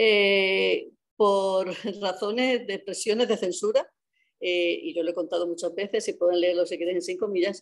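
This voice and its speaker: Nothing much sounds behind her in the quiet background. A woman talks at a fairly slow pace, her pitch varying in an ordinary way. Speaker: journalist and economist; newspaper editor, panelist. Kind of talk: panel talk. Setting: video call. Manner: halting. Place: home room. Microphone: video call.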